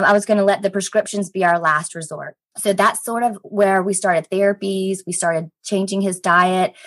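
In a Southern US accent, a woman speaks at a medium pitch and a moderate pace with monotone, flat intonation and hardly any pauses. The sound is dry and close, with no echo. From Columbia, South Carolina. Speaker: guest, CBD wellness consultant. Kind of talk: casual interview chat.

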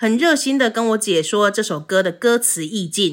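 In a Taiwanese accent, a woman speaks at a moderate pace with an animated tone. The recording is very clean and the background silent. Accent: Taiwanese Mandarin. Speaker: podcast co-host. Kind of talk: casual chat.

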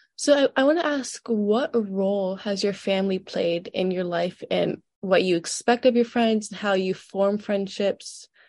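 In a normal speaking voice, a woman talks at a medium pitch and a fairly slow pace with ordinary pitch variation, hardly any pauses, and a quiet background. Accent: American. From Georgia, US South. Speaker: student interviewer. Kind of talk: interview.

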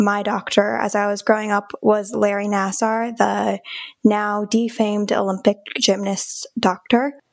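This woman speaks at a fairly slow pace in a Midwestern American accent, her medium pitch held in a monotone, flat intonation. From Michigan, Lansing area. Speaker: trauma survivor and advocacy founder. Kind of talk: interview.

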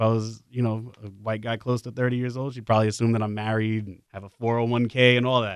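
A man with a New York accent talks at a very fast pace and medium pitch. He leaves hardly any pauses. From New York City, the Bronx. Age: 20s. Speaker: college student and campus radio music director. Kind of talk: casual chat. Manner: animated.

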